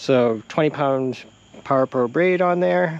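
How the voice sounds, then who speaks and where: A man's voice, dry with no echo. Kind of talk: casual fishing tutorial. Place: waterside. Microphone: phone near.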